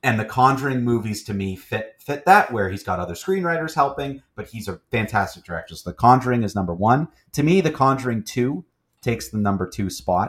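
A man with a normal speaking voice, medium pitch, lively intonation and a fairly quick pace, on a very clean recording with a silent background. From Gananoque, Ontario, Canada. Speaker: podcast host. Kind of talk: casual chat, movie podcast.

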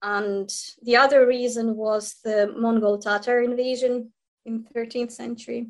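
A woman with a Ukrainian accent, fairly high in pitch, with monotone, flat intonation at a fairly slow pace. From Ukraine, Kyiv. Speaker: history scholar and human rights lawyer. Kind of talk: interview.

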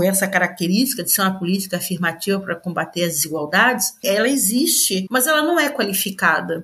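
At a moderate pace, a woman of medium pitch talks in an ordinary speaking voice. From Brazil, Florianópolis (Santa Catarina). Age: 60s. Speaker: educator and author. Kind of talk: interview.

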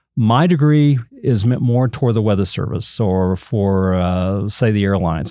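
Dark and mellow, a man's fairly low voice comes through with a Southern Plains accent. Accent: Southern Plains American. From Oklahoma (Enid). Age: 60s. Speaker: TV meteorologist. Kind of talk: interview, casual explanatory talk.

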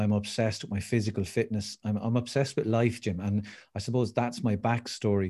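In a very clean recording with a silent background, a man with an Irish accent speaks at a fairly quick pace and fairly low pitch, his dark, mellow tone held at very even loudness. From Ireland. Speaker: motivational speaker. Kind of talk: interview. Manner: animated.

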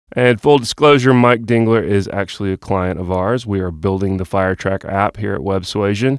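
A man's unremarkable speaking voice with an American accent, fairly low in pitch, ordinary in pitch variation, moderate in pace, dry and close with no echo. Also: hardly any pauses. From US South, Georgia (Austell, South Cobb). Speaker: podcast host and web development company founder. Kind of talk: scripted show intro. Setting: studio.

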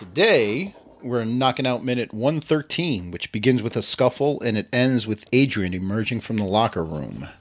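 A man with a normal speaking voice, medium in pitch, with lively intonation and a moderate pace. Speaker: podcast host. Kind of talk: casual comedic podcast chat.

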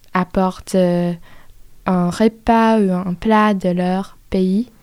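Dark, mellow tone from a woman, very clean recording, background silent. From US South. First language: English (speaking French). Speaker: exchange student. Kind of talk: interview. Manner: halting.

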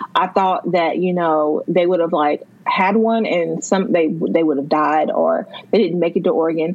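With noticeable background noise behind it, a voice in an American accent moves at a moderate pace, with very even loudness and fairly even intonation. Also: woman, fairly low pitch for a woman. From North Carolina. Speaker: emergency management worker, book lover. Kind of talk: casual chat.

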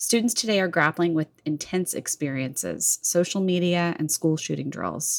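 An unremarkable speaking voice from a woman of fairly low pitch, at a moderate pace with hardly any pauses and ordinary pitch variation, dry and close with no echo. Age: 30s. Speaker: podcast host. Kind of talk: interview; scripted intro.

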